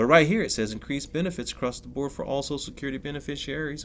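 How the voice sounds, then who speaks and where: A man is talking. His voice has vocal fry. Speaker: finance and crypto commentator. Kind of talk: solo video commentary. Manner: fast.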